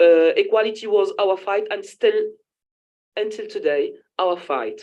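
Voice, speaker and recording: A woman with a French accent speaks over a quiet background. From Tunisia. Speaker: feminist activist. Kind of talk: panel talk. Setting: conference panel. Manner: halting, self-correcting.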